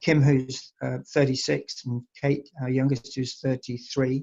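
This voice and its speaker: In a dark, mellow tone, a man speaks at a medium pitch and a fairly slow pace. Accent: English. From England. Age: 60s. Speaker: wine estate owner. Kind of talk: interview. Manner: halting, many fillers.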